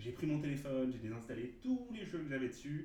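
Amid noticeable background noise and audible room echo, a man talks at a moderate pace with medium pitch. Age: 30s. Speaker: father sharing parenting experience. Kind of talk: interview conversation. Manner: halting, many hesitations.

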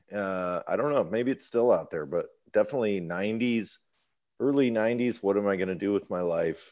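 In an American accent, a man talks at a fairly quick pace with a plain, everyday voice. His pitch is fairly low, with ordinary variation. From US Midwest. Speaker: musician. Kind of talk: casual chat.

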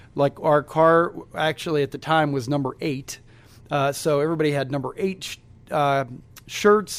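A man speaks with a Midwestern US accent at a fairly high pitch. The recording is very clean, with a silent background. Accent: US Midwest. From Cincinnati, Ohio, US Midwest. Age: 40s. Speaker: entrepreneur. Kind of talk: interview.

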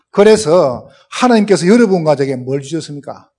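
A dark, mellow tone comes with a strong Gyeongsang accent. The pitch swings very widely. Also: man. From South Korea, Gyeongsang region. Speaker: pastor, guest preacher. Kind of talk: sermon. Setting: church. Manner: speeds up as sermon goes on.

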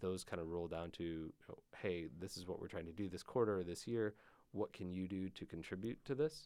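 The speaker talks at a fairly quick pace in an Upper Midwest accent. Pitch variation is ordinary. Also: man. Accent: Upper Midwest American. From Michigan (Grand Rapids). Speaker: tech startup founder. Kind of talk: interview. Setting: studio.

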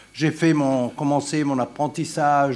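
A man speaks in an Italian accent. His pitch is fairly high. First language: Italian (speaking French). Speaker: retired political science professor. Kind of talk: conference talk.

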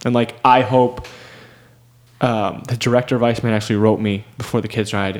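At a fairly quick pace, a man with an American accent speaks in a fairly low voice. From Michigan, US. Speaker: professional cyclist. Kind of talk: interview. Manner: animated.

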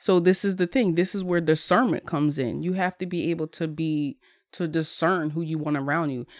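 A woman with an American accent has an unremarkable speaking voice at a fairly low pitch, with ordinary pitch variation and a fairly quick pace, in a dry, close sound with no echo on a very clean recording with a silent background. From Bristol, Pennsylvania (Philadelphia area). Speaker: life coach and meditation group leader. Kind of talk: casual chat.

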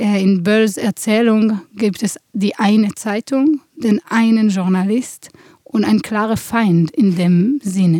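In a dry, close sound with no echo, a woman with an Israeli accent speaks at a very slow pace, her fairly high pitch showing ordinary variation. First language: Hebrew (speaking German). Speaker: theatre director. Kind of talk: interview. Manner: halting, many fillers.

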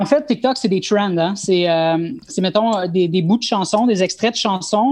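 A woman with a medium pitch talks at a moderate tempo, her pitch varying in an ordinary way. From Montreal, Quebec. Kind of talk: casual discussion. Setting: video call. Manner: halting, repeats words.

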